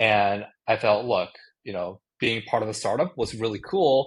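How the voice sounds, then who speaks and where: A man with a Japanese accent talks at a fairly quick pace and a medium pitch. His voice is somewhat breathy. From Japan (Tokyo). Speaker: tech startup founder. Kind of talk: podcast interview. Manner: casual, with frequent fillers.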